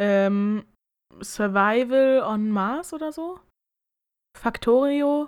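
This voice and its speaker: The intonation is lively, but the pace is very slow. Long, frequent pauses break up the speech. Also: woman, high pitch for a woman. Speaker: podcast co-host. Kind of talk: casual chat.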